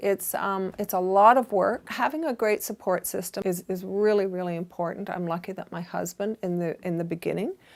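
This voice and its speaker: With a Canadian accent, a woman speaks at a moderate pace in medium pitch, an unremarkable speaking voice. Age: 60s. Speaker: fashion boutique owner. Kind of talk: interview monologue giving career advice.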